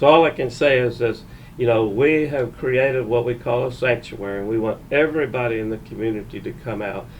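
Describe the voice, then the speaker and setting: A man with a Texan accent, medium pitch, fairly even intonation and a fairly quick pace. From Texas, Conroe. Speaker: winery owner, co-host. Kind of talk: casual podcast chat.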